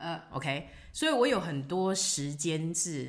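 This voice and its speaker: At a moderate pace, a woman with a fairly low pitch talks with lively intonation amid audible room echo. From Taiwan. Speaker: retired restaurant owner living abroad. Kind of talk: casual interview.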